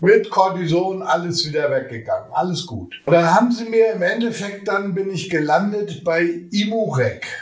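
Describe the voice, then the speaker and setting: A man's high voice at a moderate pace, with lively intonation, hardly any pauses and noticeable background noise. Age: 50s. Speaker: podcast guest living with MS, retired. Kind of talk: casual interview chat. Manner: animated, laughs often.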